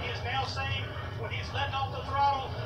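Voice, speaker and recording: A man talks at a fairly quick pace. Music plays behind him. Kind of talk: casual race commentary. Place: home room.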